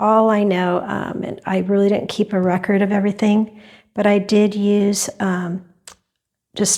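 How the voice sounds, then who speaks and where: This soft-spoken voice has a dark, mellow tone and a monotone, flat intonation. It moves at a moderate pace. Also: woman. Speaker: fluid art painter. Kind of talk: tutorial. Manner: hesitant, many fillers. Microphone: new clip-on wireless mic, reverb added.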